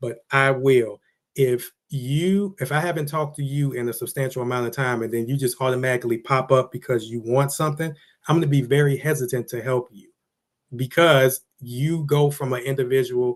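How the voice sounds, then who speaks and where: A man speaks in a medium pitch. His intonation stays fairly even. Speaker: business vlogger. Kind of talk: motivational monologue. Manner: fast.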